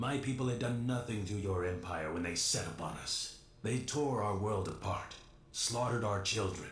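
A man's robotic, put-on character voice, fairly low in pitch, at a moderate pace with slight echo. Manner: grave, accusatory.

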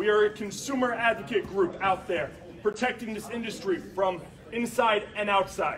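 Through noticeable background noise, a man speaks passionately at a moderate pace, his high voice showing ordinary pitch variation. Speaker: consumer advocate. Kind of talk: interview answer. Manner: passionate, indignant. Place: meeting room.

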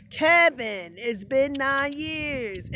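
There is a put-on character voice pitched high. Light background noise runs underneath. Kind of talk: casual vlog chat.

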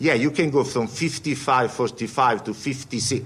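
A man's medium-pitched voice with an Italian accent. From Italy. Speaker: quant fund CEO; panelist. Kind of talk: panel talk. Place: meeting room. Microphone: podium.

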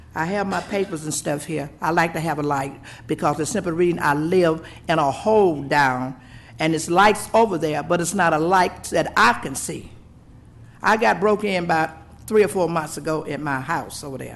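At a moderate pace, a woman with a Southern US accent speaks in a fairly low pitch with ordinary pitch variation. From US South. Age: 70s. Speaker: local resident. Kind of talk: public comment. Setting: public meeting.

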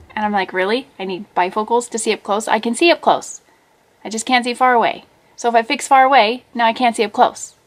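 A woman's fairly high voice at a very fast pace, with ordinary pitch variation. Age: 40s. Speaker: vlogger. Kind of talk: casual vlog monologue. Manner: animated. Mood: puzzled, mildly exasperated. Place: home room. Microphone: webcam.

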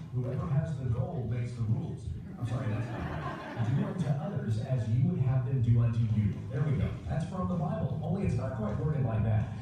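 Amid noticeable background noise and strong room echo, a man speaks at a moderate pace with ordinary pitch variation. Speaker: pastor. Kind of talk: sermon. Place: church.

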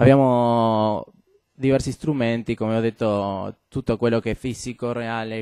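This man's voice has a dark, mellow tone and a monotone, flat intonation, recorded dry with no echo against a quiet background. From Argentina, Buenos Aires. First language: Spanish (speaking Italian). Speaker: game designer; guest. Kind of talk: talk to students. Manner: halting, many fillers. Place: classroom.

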